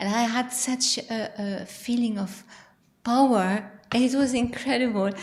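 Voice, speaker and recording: Speaking at a very slow pace, the voice carries a non-native accent. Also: woman. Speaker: audience member. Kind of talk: audience feedback. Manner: halting.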